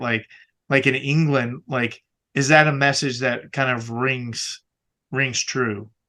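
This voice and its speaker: Against a quiet background, a man with an American accent speaks at medium pitch in a bright, sharp tone with fairly even intonation. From US South. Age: 40s. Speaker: podcast host. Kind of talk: casual interview.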